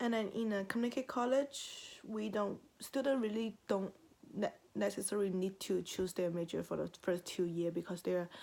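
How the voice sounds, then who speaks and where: A woman's dark, mellow voice at a moderate pace, with a non-native accent, on a very clean recording over a silent background. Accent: non-native accent, noticeable. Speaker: university student. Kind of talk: personal narrative speech. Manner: halting, many self-corrections.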